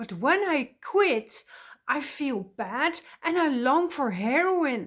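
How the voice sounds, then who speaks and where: A loud, animated woman with a high pitch. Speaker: counselor and coach. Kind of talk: opinionated vlog monologue.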